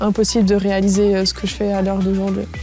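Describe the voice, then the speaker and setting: Noticeable background noise accompanies a woman whose voice has a medium pitch. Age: 20s. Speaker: paralympic swimmer. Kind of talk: interview testimony.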